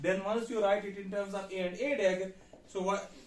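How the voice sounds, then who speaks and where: Amid audible room echo, a man speaks in a high voice. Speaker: university physics lecturer. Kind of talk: lecture.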